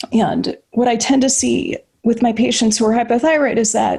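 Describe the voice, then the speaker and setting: A woman's fairly high voice carries vocal fry and a dark, mellow tone, with fairly even intonation at a moderate pace. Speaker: physician. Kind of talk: lecture.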